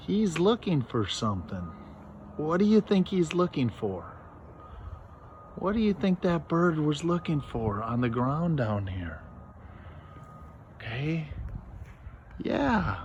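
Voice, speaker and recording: Soft-spoken and very slow, a man talks with a fairly high pitch, very wide pitch swings and long, frequent pauses. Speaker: teacher. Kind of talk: lesson for children. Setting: outdoors.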